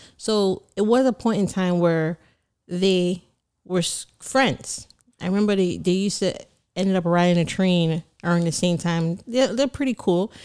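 Speaking with a Caribbean accent, a woman keeps a medium pitch, ordinary pitch variation and very even loudness at a fairly slow pace, in a very clean recording with a silent background. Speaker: certified public accountant and business owner. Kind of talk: casual interview.

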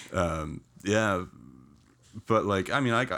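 A man with vocal fry and very wide pitch swings, on a very clean recording with a silent background. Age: 30s. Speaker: podcast guest. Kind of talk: casual chat.

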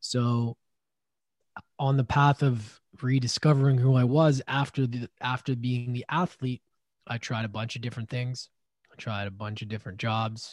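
A man with a Canadian accent and a normal speaking voice, medium pitch, moderate pace and fairly even intonation, in a dry, close sound with no echo. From Canada (Edmonton, Alberta; then Vancouver Island). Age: 30s. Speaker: podcast host and former hockey player. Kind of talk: interview.

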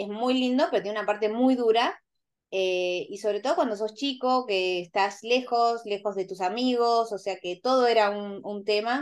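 Against a quiet background, a woman talks at a moderate pace in a plain, everyday voice. Her fairly high pitch has ordinary variation. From Argentina, rural Buenos Aires province. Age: 40s. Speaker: interview guest. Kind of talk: casual interview.

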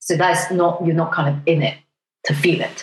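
A woman speaks at a moderate pace, her fairly low pitch somewhat breathy. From Hong Kong. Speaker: doctor. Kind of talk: casual chat.

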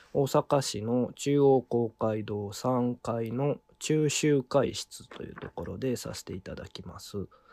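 Very slowly and with hardly any pauses, a man speaks in a dark, mellow tone whose loudness swings widely, the sound dry and close with no echo. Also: medium pitch for a man, ordinary pitch variation. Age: 40s. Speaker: violin maker, association head. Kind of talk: interview.

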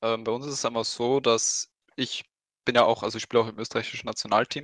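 Recorded dry and close with no echo, a man with medium pitch and an ordinary speaking voice talks at a fairly quick pace with fairly even intonation. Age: 20s. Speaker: esports team captain. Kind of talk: casual chat.

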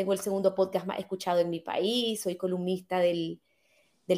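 A woman speaks with a dark, mellow tone. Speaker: author and podcaster. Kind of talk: interview.

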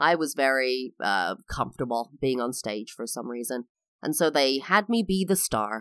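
Her voice is very deep and low for a woman, with lively intonation at a moderate pace, and the sound is dry and close with no echo. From England. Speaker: podcast host. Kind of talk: solo podcast monologue. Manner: expressive, varied inflection.

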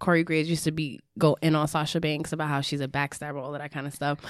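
With a New York accent, a woman speaks at a fairly quick pace. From the Bronx, New York. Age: 30s. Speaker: wrestling podcast host. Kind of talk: casual chat.

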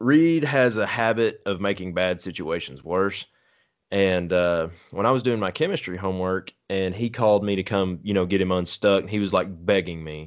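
An unremarkable speaking voice comes through with an American accent. The background is quiet. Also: man, fairly low pitch for a man, ordinary pitch variation, moderate pace. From Texas. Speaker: podcast host. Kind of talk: casual chat.

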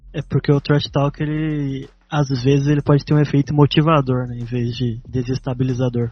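Somewhat breathy and fairly high in pitch, a man talks at a moderate pace with hardly any pauses, in monotone, flat intonation. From Brazil, Taubaté (São Paulo state). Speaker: podcast co-host. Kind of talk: casual interview chat.

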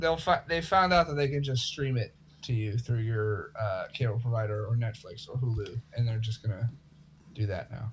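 Noticeable background noise behind a man's moderate-paced, medium-pitched speech with ordinary pitch variation. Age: 20s. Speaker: podcast co-host. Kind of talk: casual chat.

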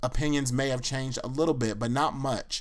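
A man with an unremarkable speaking voice, medium in pitch. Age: 30s. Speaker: podcast host. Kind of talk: personal monologue. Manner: casual, conversational.

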